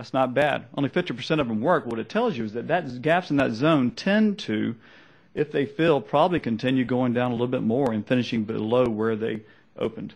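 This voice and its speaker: Against a quiet background, a man with a slight Southern US accent speaks fairly quickly at a medium pitch. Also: ordinary pitch variation. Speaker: trader. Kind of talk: seminar presentation. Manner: fast.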